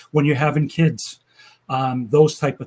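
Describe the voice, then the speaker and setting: A man with a fairly high, somewhat breathy voice talks at a moderate pace, his pitch varying in an ordinary way. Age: 60s. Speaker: insurance agent. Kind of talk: casual interview.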